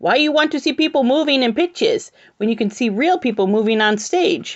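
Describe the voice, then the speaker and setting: A woman puts on a character voice pitched high and talks at a fairly quick pace. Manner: puzzled, questioning.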